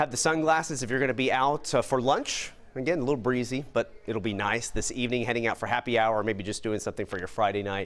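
A man speaks at a very fast pace in an upbeat tone. His pitch varies in an ordinary way. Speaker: TV weather forecaster. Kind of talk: live TV weather report. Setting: TV studio. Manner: conversational and upbeat, brisk, with frequent fillers. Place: studio. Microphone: lapel.

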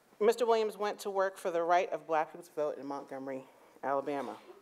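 A woman talks at a fairly quick pace in an unremarkable speaking voice. Her pitch is fairly low. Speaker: speaker. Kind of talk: formal speaker introduction. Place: hall. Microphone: podium.

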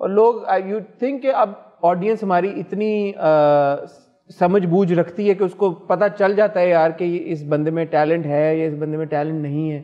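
A man speaks at a fairly slow pace with a high voice. The background is quiet. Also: ordinary pitch variation. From Pakistan. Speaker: talk show host. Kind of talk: celebrity interview. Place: studio. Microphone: lapel.

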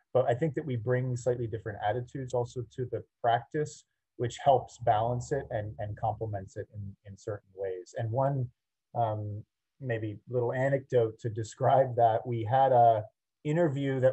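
A man's somewhat breathy voice, dark and mellow in tone, with fairly even intonation over a quiet background. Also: moderate pace. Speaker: architect giving a lecture. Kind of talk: lecture. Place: home room. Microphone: video call.

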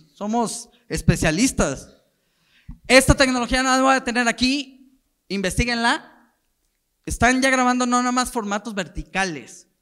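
This man's voice is extremely high-pitched, bright and sharp, raised and projected, with an animated tone and ordinary pitch variation. He goes at a fairly slow pace with long, frequent pauses against a quiet background. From Mexico. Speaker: marketing director at a football federation; conference speaker. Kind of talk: conference talk. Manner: casual, animated. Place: hall. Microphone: handheld.

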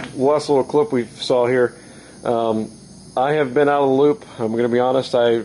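Light background noise sits under a man's voice. He keeps a moderate pace, very even loudness and fairly even intonation. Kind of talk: casual vlog chat. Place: workshop. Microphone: phone near.

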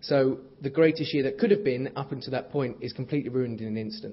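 A man talks at a very fast pace. His voice is somewhat breathy. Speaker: guest. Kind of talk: keynote speech with anecdotes. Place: hall. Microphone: podium.

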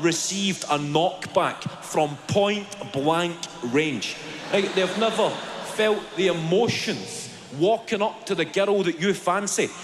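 Very slow, high-pitched male speech with ordinary pitch variation, set against noticeable background noise. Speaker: stand-up comedian. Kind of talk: stand-up comedy routine. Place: stage. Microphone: handheld.

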